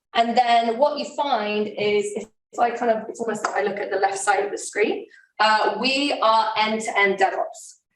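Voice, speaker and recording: Fairly high voice of a woman, its pitch varying in an ordinary way. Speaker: tech company security presenter. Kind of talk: conference talk Q&A. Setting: live event with in-person and online audience. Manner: fast.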